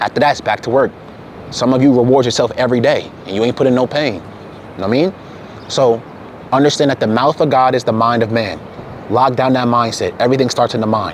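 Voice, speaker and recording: A man at medium pitch, very fast yet with long, frequent pauses, over noticeable background noise. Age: 20s. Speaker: fitness content creator. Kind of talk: motivational monologue. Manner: animated.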